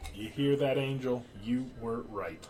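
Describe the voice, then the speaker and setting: Doing a put-on character voice, a man speaks at a fairly slow pace and medium pitch with ordinary pitch variation, over clear background noise. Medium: video game. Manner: very calm.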